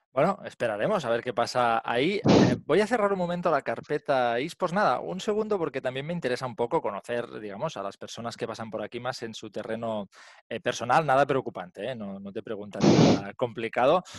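A man talks at a fairly quick pace, his pitch swinging very widely. The sound is dry with no echo, over a quiet background. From Spain. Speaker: podcast host. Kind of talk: casual chat. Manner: animated. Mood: friendly, animated. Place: home room. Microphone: headset.

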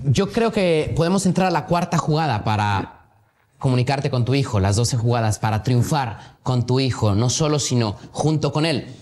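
With lively intonation and very even loudness, a man speaks at a moderate pace. His voice is somewhat breathy. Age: 20s. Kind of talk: casual chat. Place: studio.

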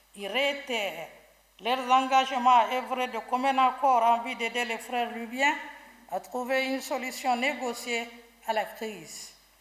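A woman speaks at a fairly slow pace with a high pitch and fairly even intonation. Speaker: government minister. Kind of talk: reading an official statement. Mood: formal, measured, official. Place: hall. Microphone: podium.

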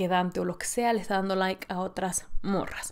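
A woman is speaking. Her tone is animated. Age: 20s. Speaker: podcast host. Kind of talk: casual solo monologue. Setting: solo in front of camera and mic. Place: home room.

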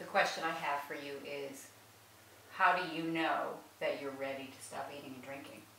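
With audible room echo and light background noise, a woman talks at a moderate pace in a very deep, low pitch and fairly even intonation. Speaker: newspaper managing editor. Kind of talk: interview questions. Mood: gentle, tender, quiet. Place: home room. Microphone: camera far.

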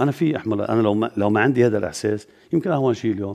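A man with a fairly low pitch talks very fast, his intonation lively. The background is quiet. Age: 60s. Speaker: politician. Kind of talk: TV interview. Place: studio.

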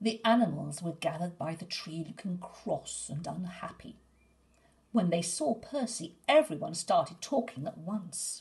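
Soft-spoken and somewhat breathy, a woman with a fairly low pitch talks at a fairly slow pace, her intonation lively and her loudness swinging widely. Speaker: storyteller. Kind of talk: bedtime story reading aloud. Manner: soft, soothing, gently paced storyteller; expressive, with character voices for dialogue. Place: home room. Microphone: phone near.

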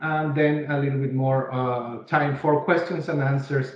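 There is audible room echo around a man speaking with a Mexican accent. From Mexico City. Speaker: webinar host, presenter. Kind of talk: formal business presentation. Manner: speaks slowly, carefully enunciated. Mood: upbeat, welcoming. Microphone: video call.

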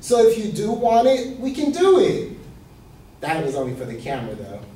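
A man speaks in a high voice at a moderate pace. His tone is passionate, with audible room echo. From Ecuadorian heritage. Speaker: student; presenter. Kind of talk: class speech. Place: classroom. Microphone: camera far.

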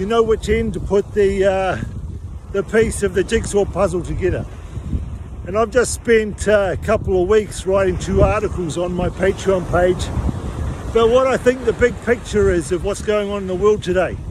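A man at a moderate pace, with a dry sound with no echo and noticeable background noise. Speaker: health educator. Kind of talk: casual vlog chat. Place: beach. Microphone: phone near.

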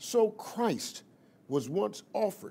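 The pitch swings very widely. The pace is very slow. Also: man. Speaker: preacher. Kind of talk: sermon.

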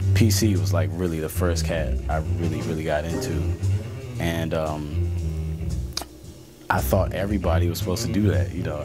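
A man at a fairly quick pace with ordinary pitch variation, clear music in the background. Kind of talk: interview answer. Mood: warm, admiring. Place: studio.

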